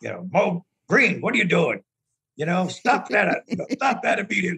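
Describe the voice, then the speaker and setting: A man's gruff put-on character voice, high in pitch, at a moderate pace, with a dry, close sound and no echo. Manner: scolding, demanding.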